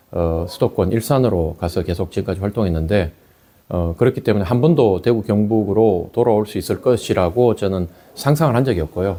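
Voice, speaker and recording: With a Gyeongsang accent, a man speaks at a fairly quick pace in a dark, mellow tone, at a fairly low pitch with ordinary pitch variation. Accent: Gyeongsang dialect, kept on purpose. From Korea, Daegu. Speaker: election candidate. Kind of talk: campaign interview.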